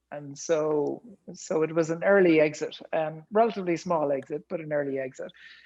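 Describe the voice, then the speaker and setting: This man speaks with an Irish accent at a moderate pace. His pitch is fairly high and his intonation fairly even. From rural Ireland. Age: 50s. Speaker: tech entrepreneur. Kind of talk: podcast interview.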